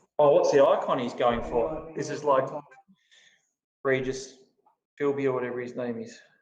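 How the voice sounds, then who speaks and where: With a fairly high pitch and ordinary pitch variation, a man speaks at a moderate pace with long, frequent pauses and big swings in loudness, and audible room echo surrounds him. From Australia. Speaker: crypto community host. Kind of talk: casual live stream chat. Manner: casual, hesitant with fillers.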